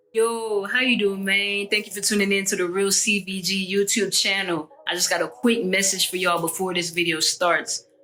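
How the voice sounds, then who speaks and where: A man's raised, projected, high voice in an American accent, fairly even in intonation, over noticeable background noise. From Jamaica. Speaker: YouTube podcast host. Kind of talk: casual chat.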